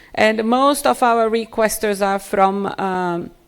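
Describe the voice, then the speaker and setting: Her voice sits at a medium pitch, and this woman shows ordinary pitch variation. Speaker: gene bank scientist. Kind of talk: conference presentation. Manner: halting.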